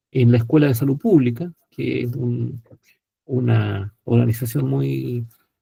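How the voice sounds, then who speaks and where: A man with a Chilean accent has a dark, mellow, somewhat breathy voice, recorded with a dry, close sound and no echo. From Chile, provinces. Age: 60s. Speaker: psychiatrist and professor. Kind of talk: panel talk self-introduction. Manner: hesitant fillers.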